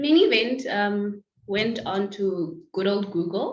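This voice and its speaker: There is audible room echo around a woman's voice. Her pitch variation is ordinary. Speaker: lawyer. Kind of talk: interview. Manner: loud.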